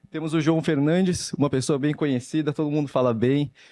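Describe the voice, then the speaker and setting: A man speaks with a São Paulo accent at a fairly quick pace. His tone is dark and mellow, with fairly even intonation. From São Paulo city, Brazil. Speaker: panel moderator. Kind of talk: panel discussion moderation.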